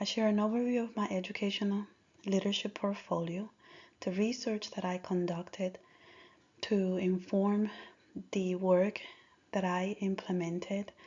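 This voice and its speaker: A woman with a Spanish accent, medium in pitch, with monotone, flat intonation, somewhat breathy, at a moderate pace broken by long, frequent pauses. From Dominican Republic. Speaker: school district language coordinator. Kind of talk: presentation.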